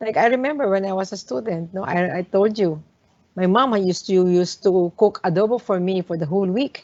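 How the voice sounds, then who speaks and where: A woman with a Filipino accent, medium pitch, ordinary pitch variation and a fairly quick pace. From Philippines, Manila area. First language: Tagalog. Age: 60s. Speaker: hotel owner. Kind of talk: talk to students. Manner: halting, many fillers.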